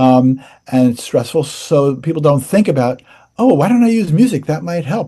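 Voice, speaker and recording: This man's voice is somewhat breathy, with a dark, mellow tone. His pitch swings very widely. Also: moderate pace. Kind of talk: interview. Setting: podcast.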